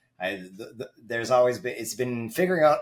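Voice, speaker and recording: Against noticeable background noise, a man with a Canadian accent speaks with ordinary pitch variation. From Canada. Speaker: network engineer. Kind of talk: casual chat.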